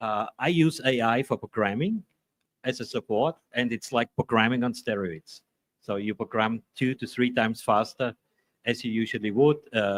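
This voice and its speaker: A man speaks with an Austrian accent at a medium pitch. The sound is dry and close, with no echo. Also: ordinary pitch variation, moderate pace. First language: German. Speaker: maker YouTuber. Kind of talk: panel discussion. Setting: trade fair booth.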